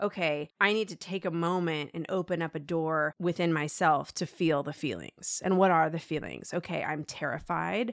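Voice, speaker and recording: A plain, everyday voice with fairly even intonation speaks at a moderate pace with hardly any pauses, in a dry, close sound with no echo. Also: woman, fairly low pitch for a woman. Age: 40s. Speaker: journalist. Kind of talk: interview.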